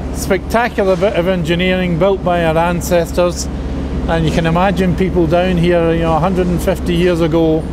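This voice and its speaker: A man speaks at a moderate pace while loud background noise fills the recording. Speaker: engineer or site spokesperson. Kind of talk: on-site explanation to camera. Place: tunnel cave.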